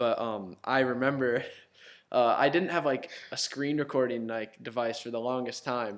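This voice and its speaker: On a very clean recording with a silent background, a man with a Midwestern American accent speaks at a medium pitch and a moderate pace, his intonation fairly even. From Ohio, US Midwest. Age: young. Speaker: YouTuber. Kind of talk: casual chat.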